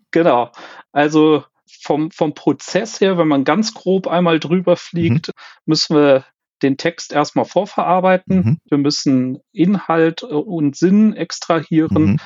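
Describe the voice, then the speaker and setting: Here a man speaks at a very slow pace with very even loudness. His voice is fairly high, with ordinary pitch variation. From Germany, Cologne. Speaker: quality manager in fastening technology. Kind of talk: interview. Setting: remote call. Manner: hesitant, many fillers.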